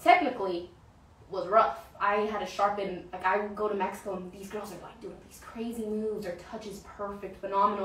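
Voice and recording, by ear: A woman's medium-pitched voice, fairly even in intonation, with audible room echo.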